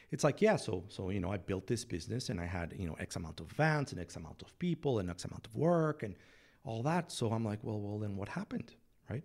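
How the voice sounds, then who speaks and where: Speaking at a very fast pace in a very clean recording with a silent background, a man with a fairly low, somewhat breathy voice makes very wide pitch swings. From Mexico City. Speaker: business consultant. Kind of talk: casual interview. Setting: studio.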